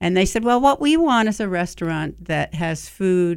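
A woman speaks at a moderate pace in a plain, everyday voice, with lively intonation. The recording is very clean, with a silent background. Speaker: restaurateur and cooking show figure. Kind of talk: casual interview. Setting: studio.

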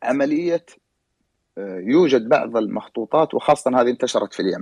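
At a moderate pace, a man speaks with vocal fry and very wide pitch swings, the sound dry and close with no echo. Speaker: historian and genealogist. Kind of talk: panel discussion. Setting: online audio room.

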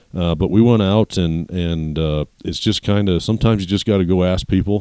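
In an American accent, a man with a very deep, low pitch speaks at a fairly quick pace with fairly even intonation. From western Colorado. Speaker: rancher and voice-over artist. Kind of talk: interview.

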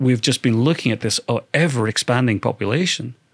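A man with a British accent and a medium-pitched voice, the sound dry and close with no echo. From UK. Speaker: data scientist and documentary film-maker. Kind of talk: interview.

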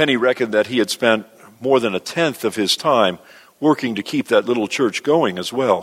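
Reading done in a natural voice

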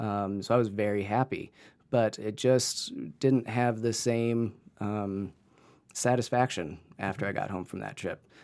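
With an American accent, the speaker uses a normal speaking voice. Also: man, very clean recording, silent background. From Northeast Ohio. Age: 30s. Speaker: medical student and photographer. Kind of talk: casual interview.

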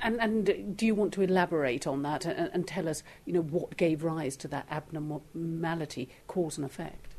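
A woman with a normal speaking voice, fairly low in pitch with ordinary variation, at a moderate pace with hardly any pauses. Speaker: interviewer, podcast host. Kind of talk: interview.

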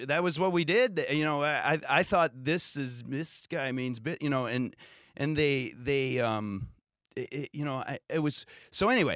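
Using a normal speaking voice, a man with a fairly high pitch and ordinary pitch variation talks at a moderate pace on a very clean recording with a silent background. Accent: American. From Ohio, US. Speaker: music teacher. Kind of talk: casual interview. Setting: studio.

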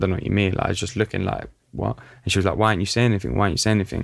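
A man with a London accent speaks in a very deep, low voice with vocal fry and ordinary pitch variation. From North London, Italian community. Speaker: podcast host. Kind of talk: interview. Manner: casual, filler-heavy.

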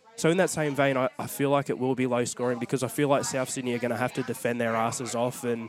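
A man with an Australian accent at medium pitch, fairly even intonation and a very fast pace. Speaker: rugby league podcast co-host. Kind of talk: casual chat.

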